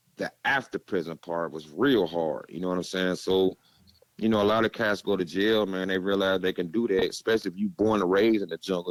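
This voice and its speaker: Fairly quick speech with an American accent. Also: man. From Gary, Indiana (US Midwest). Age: 40s. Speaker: former prisoner, warehouse worker. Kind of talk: casual podcast interview, life story. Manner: laid back, casual.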